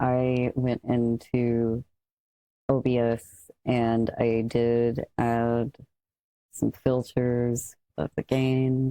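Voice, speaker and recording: Quiet speech comes at a very slow pace. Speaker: content creator. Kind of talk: mic test tutorial.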